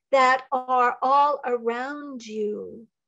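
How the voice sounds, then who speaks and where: Against a quiet background, a woman speaks in a high voice with ordinary pitch variation. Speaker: psychic medium and Reiki teacher. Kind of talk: channeled spiritual talk. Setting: video call. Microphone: video call.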